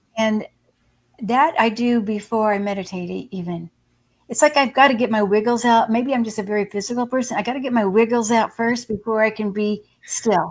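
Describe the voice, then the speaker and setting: A woman speaks in a plain, everyday voice at a fairly quick pace. Her pitch is fairly high, with ordinary pitch variation. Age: 60s. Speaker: psychic medium and hospice nurse. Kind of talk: casual interview.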